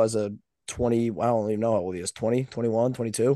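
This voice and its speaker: Against a quiet background, a man talks at a very fast pace. His tone is dark and mellow. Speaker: podcast co-host. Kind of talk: casual sports chat.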